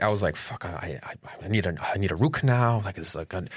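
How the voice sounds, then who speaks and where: A man speaks at a very fast pace in a fairly low pitch with ordinary pitch variation. The recording is very clean, the background silent. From Colombia. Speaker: podcast host. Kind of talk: casual chat. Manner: mumbling.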